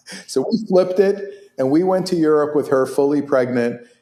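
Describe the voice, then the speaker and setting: A man's dark, mellow tone with lively intonation. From Israel. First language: Hebrew. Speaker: orthopedic surgeon. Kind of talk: interview.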